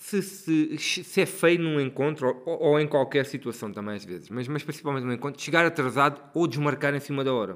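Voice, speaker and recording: A man's normal speaking voice, fairly high in pitch, with lively intonation at a fairly quick pace. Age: 40s. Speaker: podcast co-host. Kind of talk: casual chat.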